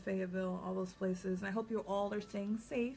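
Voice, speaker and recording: This woman talks at a fairly quick pace, somewhat breathy. Her intonation stays monotone and flat. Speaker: psychic reader. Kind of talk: vlog monologue.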